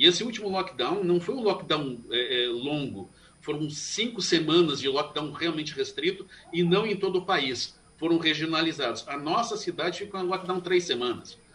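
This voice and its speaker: A man speaks in a high pitch with lively intonation. Noticeable background noise runs behind him. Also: moderate pace. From Brazil, Curitiba. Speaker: Ayurvedic doctor. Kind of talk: radio interview.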